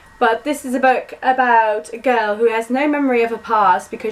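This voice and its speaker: A woman talks at a fairly quick pace and fairly high pitch over noticeable background noise. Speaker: booktuber. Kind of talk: book haul vlog. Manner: fast; animated.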